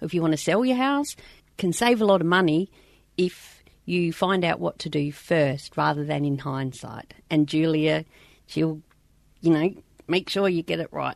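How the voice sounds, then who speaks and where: A woman with an Australian accent at a moderate pace, long, frequent pauses, quiet background. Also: fairly low pitch for a woman, ordinary pitch variation. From South Australia. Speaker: podcast host and mining truck driver. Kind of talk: casual chat, podcast intro and outro. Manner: casual, chatty, self-deprecating.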